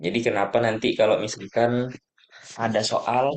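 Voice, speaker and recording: Talking at a medium pitch, the man keeps to a fairly slow pace. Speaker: lecturer / tutor. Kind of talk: lecture. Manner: soft-spoken; halting.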